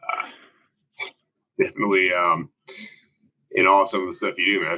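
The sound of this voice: A man speaks at a moderate pace in a low pitch with little pitch movement. His tone is bright and sharp.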